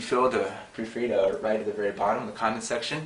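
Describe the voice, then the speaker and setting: A man talks at a very fast pace with a medium pitch. Audible room echo and noticeable background noise surround him. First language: not Khmer (non-native learner). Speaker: language teacher. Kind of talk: tutorial. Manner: hesitant, with fillers.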